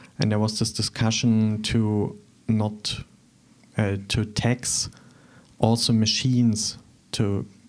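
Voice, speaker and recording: With a German accent and a fairly low pitch, a man speaks at a very slow pace with long, frequent pauses, in a flat monotone at very even loudness, on a very clean recording with a silent background. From eastern Germany, Thuringia. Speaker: artist. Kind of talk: interview. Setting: studio.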